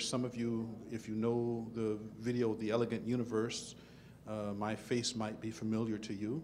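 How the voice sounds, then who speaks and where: A man's medium-pitched voice at a moderate pace, with audible room echo. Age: 50s. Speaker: theoretical physicist. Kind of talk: panel talk to student audience.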